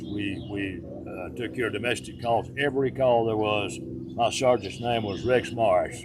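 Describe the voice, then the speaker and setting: A man speaks at a moderate pace in a fairly low pitch, his voice swinging very widely up and down. Music plays in the background. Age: 70s. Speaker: country radio DJ and police officer. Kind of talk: casual interview chat. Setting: farm.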